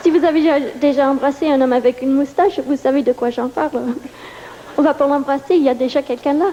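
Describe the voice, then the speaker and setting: Noticeable background noise surrounds a woman speaking at a very fast pace with a non-native accent. Her high-pitched voice keeps a fairly even intonation, broken by long, frequent pauses. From New York. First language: English (speaking French). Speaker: stand-up comedian. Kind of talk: stand-up. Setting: stage with audience.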